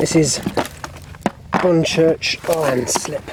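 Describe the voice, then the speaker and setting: A man is whispering. Noticeable background noise runs behind him. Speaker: vlogger. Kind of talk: casual vlog narration. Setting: outdoors. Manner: whispering at times.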